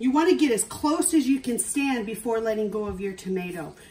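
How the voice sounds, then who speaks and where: The pace stays moderate. The speaker is a woman. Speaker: cooking instructor. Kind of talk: tutorial. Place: kitchen.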